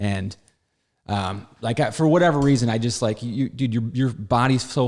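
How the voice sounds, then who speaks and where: Spoken at a moderate pace with an American accent, the voice shows ordinary pitch variation. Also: man. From Wisconsin. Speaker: comedian. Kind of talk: casual chat. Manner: mumbling; animated.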